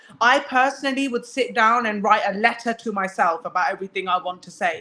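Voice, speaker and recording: A woman speaks in a British accent with a bright, sharp tone and fairly high pitch. Her pace is fairly quick, and her pitch variation is ordinary. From England. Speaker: guest speaker. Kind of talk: casual chat.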